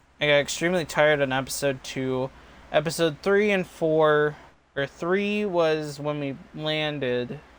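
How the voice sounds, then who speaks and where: With a normal speaking voice, a man talks at a fairly slow pace, fairly high in pitch with ordinary pitch variation. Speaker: gaming streamer. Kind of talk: casual live stream sign-off. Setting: live stream. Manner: rambling with restarts and repetitions.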